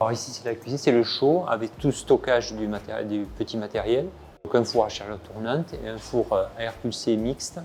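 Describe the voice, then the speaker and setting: Here a man speaks at a moderate pace with ordinary pitch variation. He has a plain, everyday voice. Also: medium pitch for a man. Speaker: chef. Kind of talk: guided kitchen tour.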